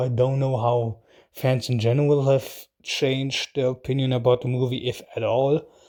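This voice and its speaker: On a very clean recording with a silent background, a man with a non-native accent speaks at a fairly slow pace, his fairly high pitch carrying a dark, mellow tone. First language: not English. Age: adult, out of school. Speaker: YouTube reaction host. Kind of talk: casual video commentary. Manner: hesitant, with fillers.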